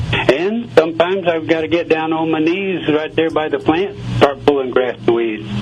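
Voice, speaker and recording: A man's fairly high voice with an American accent and ordinary pitch variation, over noticeable background noise. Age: 70s. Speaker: gardener, radio guest. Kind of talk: radio interview.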